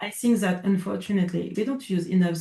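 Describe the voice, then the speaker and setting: A fairly quick delivery with a French accent. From France. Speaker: coach. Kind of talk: casual interview. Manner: halting.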